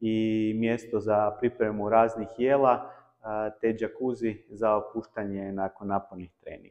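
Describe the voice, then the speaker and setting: A man talks very slowly at a medium pitch, his intonation fairly even. The background is quiet. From Croatia. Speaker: table tennis YouTuber. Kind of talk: personal vlog talk. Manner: halting with many filler sounds.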